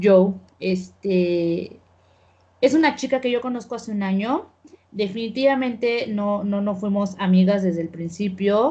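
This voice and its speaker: At a fairly slow pace, a woman speaks in a somewhat breathy voice with a dark, mellow tone, medium pitch and ordinary pitch variation. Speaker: podcast host. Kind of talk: casual chat. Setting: remote call.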